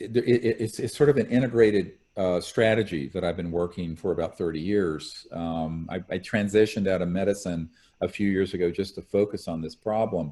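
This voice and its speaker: Very cleanly recorded over a silent background, the speaker talks in an American accent with a dark, mellow tone, ordinary pitch variation and a fairly quick pace. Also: man, fairly low pitch for a man. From US South, North Carolina. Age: 60s. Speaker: ufo disclosure researcher, former physician. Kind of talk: interview. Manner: animated.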